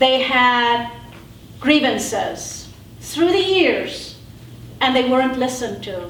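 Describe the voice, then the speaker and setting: Speaking very slowly with long, frequent pauses, a woman with a high pitch and lively intonation is heard over noticeable background noise and audible room echo. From South Africa. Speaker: panelist. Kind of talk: panel talk.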